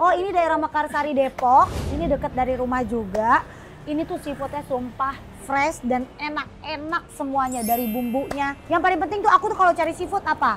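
Music plays in the background as a woman talks in a high voice with lively intonation. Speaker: food podcast host. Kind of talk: casual vlog chat. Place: cafe. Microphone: studio mic.

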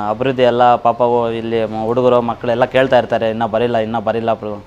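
Over light background noise, a man speaks in a monotone, flat intonation. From India, Karnataka, Chikkaballapur district village; Karnataka. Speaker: villager giving testimonial; interviewee. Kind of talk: vox-pop testimonial to camera. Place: street.

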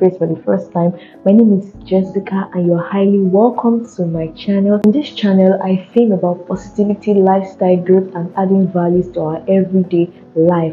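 Faint music in the background behind a woman at a moderate pace. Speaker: content creator. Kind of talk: casual vlog chat, product review intro. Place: office. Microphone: lapel.

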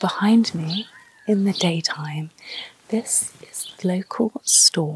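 A woman speaks at a very slow pace in a dry sound with no echo, with noticeable background noise behind her. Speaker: travel vlogger. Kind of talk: presenter piece to camera. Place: street.

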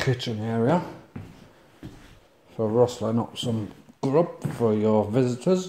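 A man talks at a very slow pace with ordinary pitch variation. Light background noise can be heard. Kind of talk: casual vlog chat. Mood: joking, relaxed. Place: bar. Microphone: phone near.

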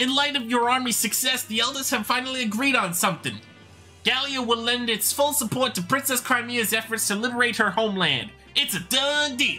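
A man's put-on character voice, extremely high-pitched and fairly quick, with clear music in the background. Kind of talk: amateur read-aloud of game dialogue. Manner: chipper, teasing.

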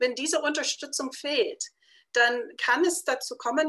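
A bright, sharp voice with an American accent and lively intonation, over a quiet background. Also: woman. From United States. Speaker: publisher. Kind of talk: interview. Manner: halting, many fillers. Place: home room. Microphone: webcam.

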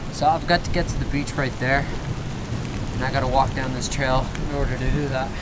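Over loud background noise, a man talks at a fairly quick pace and medium pitch with little pitch movement.

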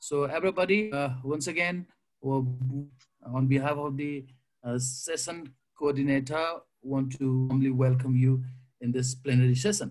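In a Nepali accent, a man speaks at a moderate pace with a medium pitch and ordinary pitch variation. He takes long, frequent pauses. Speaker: panel moderator. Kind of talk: panel discussion moderation. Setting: video call.

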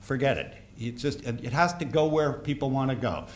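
A man's speech moves fairly quickly, its pitch varying in an ordinary way. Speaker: conference speaker on airport rail. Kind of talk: conference talk. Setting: stage with audience. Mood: wry, anecdotal. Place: hall. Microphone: podium.

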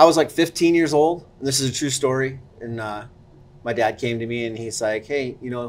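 Ordinary pitch variation from a man speaking at a moderate pace. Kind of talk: interview answer. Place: cafe. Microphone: lapel.

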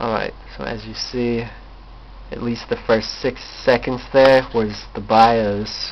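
Noticeable background noise surrounds a man's voice. He talks at a very slow pace with long, frequent pauses. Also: big swings in loudness. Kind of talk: casual talk to camera, tech demo. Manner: rambling, hesitant.

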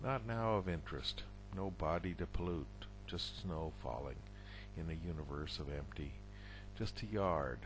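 A man's very deep, low voice carries vocal fry and very wide pitch swings. Light background noise sits under a dry sound with no echo. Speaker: poet. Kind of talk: poetry reading, read aloud in a measured, deliberate spoken-word style. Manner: slow, halting and deliberate, with pauses and self-corrections. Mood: somber, reflective. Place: home room. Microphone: headset.

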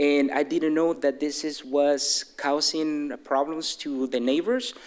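A man's fairly high voice with a Mexican accent, a very slow pace, fairly even intonation, very even loudness, and noticeable background noise. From Mexico City. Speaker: resident speaking at public comment. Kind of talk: public comment at council meeting. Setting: city council chamber. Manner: halting, unprepared.

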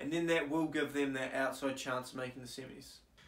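In audible room echo, a man speaks with a New Zealand accent. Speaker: cricket YouTuber. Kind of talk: solo commentary video. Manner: casual with frequent filler ums. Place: home room. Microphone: camera far.

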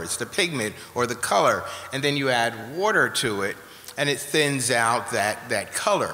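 With music playing in the background, a man talks at a moderate pace and ordinary pitch variation. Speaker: guest. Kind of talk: interview answer. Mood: warm, explanatory. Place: hall. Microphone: studio mic.

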